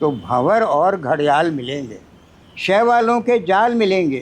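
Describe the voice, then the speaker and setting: A man is speaking. His pitch swings very widely. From Chambal valley, Madhya Pradesh, India. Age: 80s+. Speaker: poet. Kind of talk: poetry reading.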